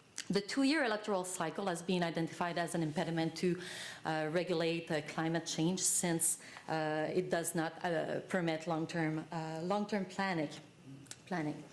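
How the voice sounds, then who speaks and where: A woman speaks with fairly low pitch and fairly even intonation. Audible room echo surrounds her voice. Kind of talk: conference panel presentation. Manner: fast; halting, many fillers.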